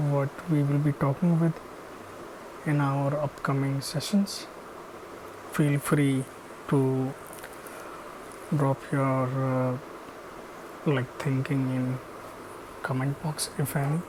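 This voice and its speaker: Pausing long and often, a man with a fairly high pitch speaks at a very slow pace over noticeable background noise. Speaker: machine learning engineer, educational YouTuber. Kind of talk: channel intro monologue. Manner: slow, hesitant with many fillers.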